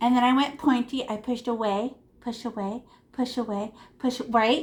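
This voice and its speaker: A woman's animated, high-pitched voice at a moderate pace, in a very clean recording with a silent background. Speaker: art teacher. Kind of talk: painting tutorial for kids.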